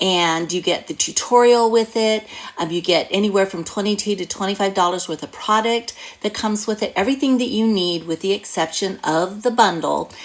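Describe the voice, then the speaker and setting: In an animated tone, a woman speaks at a fairly quick pace while noticeable background noise runs underneath. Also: medium pitch for a woman, ordinary pitch variation. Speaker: craft demonstrator and card-making teacher. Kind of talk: tutorial.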